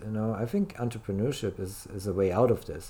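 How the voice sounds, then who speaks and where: Speaking with a German accent, a man with a fairly low pitch and a dark, mellow tone talks at a fairly quick pace with ordinary pitch variation. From Germany. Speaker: life coach. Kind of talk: interview. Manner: halting.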